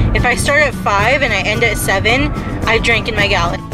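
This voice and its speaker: Against loud music in the background, a woman talks at a very fast pace, with a dry sound and no echo. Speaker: vlogger driving. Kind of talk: casual vlog chat. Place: car.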